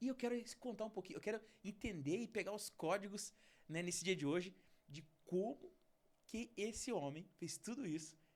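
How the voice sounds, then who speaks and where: Animated and high-pitched, a man talks at a moderate pace with ordinary pitch variation. He leaves long, frequent pauses. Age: 30s. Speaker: podcast host. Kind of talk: interview podcast.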